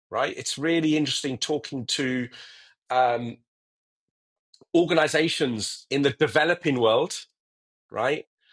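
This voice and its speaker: With a British accent, a man speaks at a fairly high pitch and a fairly slow pace. Long, frequent pauses break up his speech over a quiet background. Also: ordinary pitch variation. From England. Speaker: technology executive. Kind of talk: interview. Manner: halting, many repetitions.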